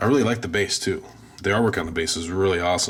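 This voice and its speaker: A man speaks very fast with ordinary pitch variation. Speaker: toy collectible reviewer. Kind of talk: product review. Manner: casual, filler-heavy.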